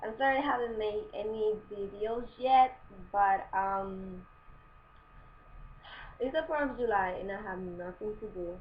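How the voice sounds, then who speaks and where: A woman with a non-native accent, fairly high in pitch with ordinary variation, fairly slow with long, frequent pauses and big swings in loudness. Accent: foreign. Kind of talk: casual advice talk to camera. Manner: chatty, informal.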